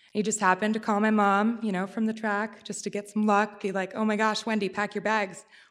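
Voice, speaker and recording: A woman's medium-pitched voice in an American accent, fairly quick and monotone, flat in intonation, on a very clean recording with a silent background. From Pennsylvania. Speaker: storyteller. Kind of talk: live storytelling. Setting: stage with audience.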